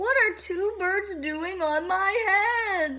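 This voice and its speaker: A put-on character voice at an extremely high pitch, at a very slow pace. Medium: read story. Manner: fretful, earnest.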